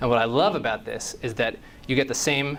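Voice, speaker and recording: There is audible room echo around this man's voice. He has a medium pitch and ordinary pitch variation. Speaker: conference speaker, creative director. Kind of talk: conference talk. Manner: fast.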